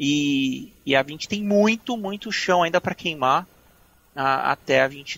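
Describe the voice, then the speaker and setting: Man's voice with a dry, close sound and no echo, at a moderate pace with ordinary pitch variation. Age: 30s. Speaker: journalist and former streaming communications executive. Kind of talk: interview conversation. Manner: halting, many repetitions.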